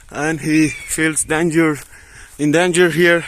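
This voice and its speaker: Talking at a very slow pace, a man with a high pitch is heard over noticeable background noise. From Afghanistan. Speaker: student vlogger. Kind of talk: casual vlog narration. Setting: outdoors. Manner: animated.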